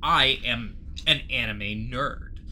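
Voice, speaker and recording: A man talks as noticeable noise carries on in the background. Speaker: podcast co-host. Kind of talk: casual chat.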